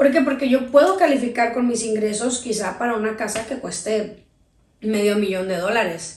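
A woman with an unremarkable speaking voice, fairly high in pitch, talks at a moderate pace with ordinary pitch variation. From Sinaloa, Mexico (raised), teen years in Tijuana. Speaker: radio host and producer. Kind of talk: interview.

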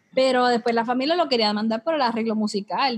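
In a Puerto Rican accent, a woman speaks in an animated tone at a fairly high pitch with ordinary pitch variation. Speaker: podcast host. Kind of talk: casual chat.

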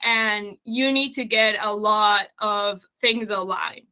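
A woman with a Spanish accent speaks in a fairly high pitch. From Uruguay. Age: 30s. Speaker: business owner. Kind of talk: casual interview conversation.

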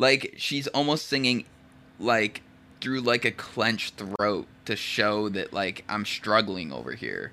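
A very slow, bright, sharp tone with vocal fry and ordinary pitch variation. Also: man, fairly low pitch for a man. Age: 20s. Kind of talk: casual chat.

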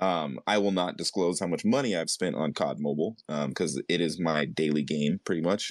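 Vocal fry runs through this moderately paced voice, which has ordinary pitch variation and hardly any pauses, recorded dry and close with no echo against a quiet background. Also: man, very deep, low pitch for a man. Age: 40s. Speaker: podcast interviewer. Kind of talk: interview. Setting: online audio room.

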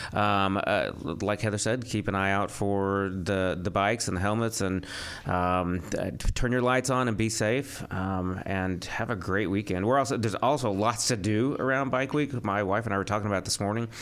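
Delivered at a fairly quick pace, the clip has an ordinary speaking voice with ordinary pitch variation. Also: man. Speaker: radio host. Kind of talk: casual chat. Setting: studio.

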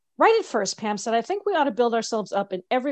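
Someone reads aloud. The voice is natural.

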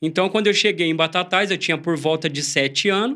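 A man's high, bright, sharp voice at a moderate pace, with ordinary pitch variation. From São Paulo state interior (Ribeirão Preto region). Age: 40s. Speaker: church member sharing conversion story. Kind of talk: testimony.

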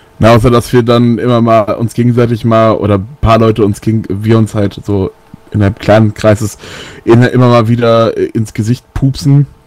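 Moderate pace and monotone, flat intonation from a medium-pitched male speaker. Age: 20s. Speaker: metal band bassist. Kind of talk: casual radio interview.

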